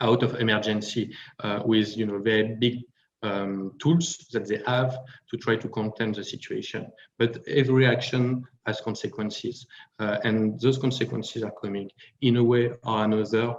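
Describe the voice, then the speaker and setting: A man with a French accent speaks at a moderate pace in a medium pitch, his intonation monotone and flat. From France. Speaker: panel speaker on finance. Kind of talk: panel discussion. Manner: hesitant with many fillers.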